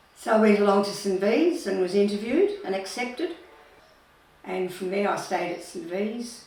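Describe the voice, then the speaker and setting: With noticeable background noise and audible room echo, a woman speaks at a medium pitch and a moderate pace, her intonation lively. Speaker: retired nurse. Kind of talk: life story interview.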